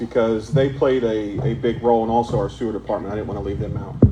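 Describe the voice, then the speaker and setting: Noticeable background noise sits behind a man's voice. He has medium pitch and ordinary pitch variation. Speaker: township commissioner. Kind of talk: public meeting remarks. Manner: loud.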